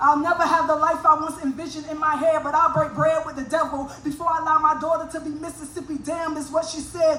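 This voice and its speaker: A woman with an American accent talks at a fairly quick pace in a high pitch. Her voice is raised and projected. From US South (north Florida). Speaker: spoken word poet. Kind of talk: stage banter; poetry performance. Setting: stage with audience. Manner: energetic.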